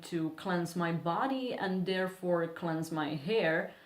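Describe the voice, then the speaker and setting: Speaking very slowly with a non-native accent, a woman uses a fairly low pitch while audible room echo surrounds her. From Serbia. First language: Serbian. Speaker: beauty vlogger. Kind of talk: casual vlog talk.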